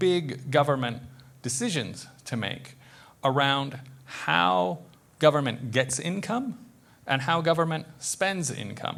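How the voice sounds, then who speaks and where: A man speaks at a fairly slow pace with a fairly high pitch. His lively intonation comes with vocal fry. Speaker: social services advocate. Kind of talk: prepared talk at town hall.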